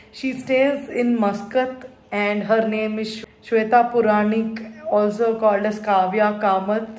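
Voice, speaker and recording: Audible room echo surrounds a woman speaking at a very slow pace. Her intonation is monotone and flat. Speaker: vlogger. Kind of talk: casual vlog chat. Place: home room. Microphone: phone near.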